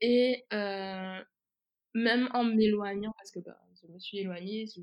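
A woman's fairly slow speech with fairly even intonation. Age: 20s. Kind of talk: casual chat. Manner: halting.

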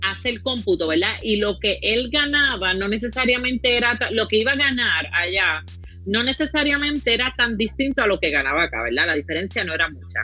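A woman's voice over music in the background. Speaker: podcast co-host. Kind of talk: casual political discussion. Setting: live video stream.

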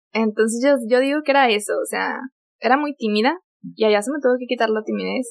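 A woman's high-pitched voice, fairly even in intonation, at a very fast pace. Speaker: former au pair. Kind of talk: casual chat.

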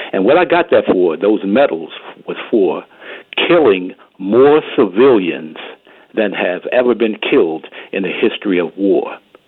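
At a fairly slow pace with long, frequent pauses, a man with fairly low pitch speaks in very wide pitch swings. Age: 70s. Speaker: veteran caller. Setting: phone call.

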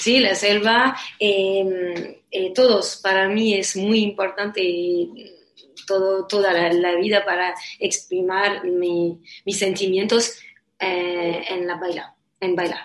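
A woman's medium-pitched voice in a monotone, flat intonation at a very slow pace. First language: not Spanish (speaking Spanish). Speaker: dancer. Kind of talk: interview. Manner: halting, hesitant.

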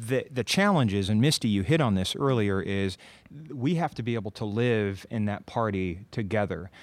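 Over a silent background in a very clean recording, a man speaks at a moderate pace with an American accent. His voice is fairly low, an ordinary speaking voice. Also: ordinary pitch variation. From Iowa, Linn County. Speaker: county supervisor. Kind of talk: casual chat. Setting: stage with audience.

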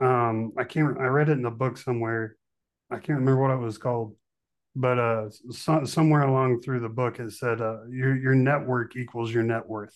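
A man speaks in a monotone with flat intonation. The background is quiet. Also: medium pitch for a man, moderate pace. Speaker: podcast host. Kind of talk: podcast interview with scripted intro and ad.

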